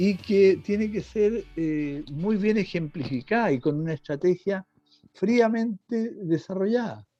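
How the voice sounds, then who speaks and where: Music plays in the background as a man talks at a very slow pace. His voice is high for a man, with lively intonation. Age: 70s. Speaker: medical technologist. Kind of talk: panel discussion.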